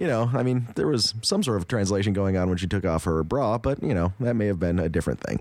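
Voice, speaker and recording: A man talks at a very fast pace, his tone dark and mellow. His pitch varies in an ordinary way. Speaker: podcast co-host. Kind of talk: casual chat.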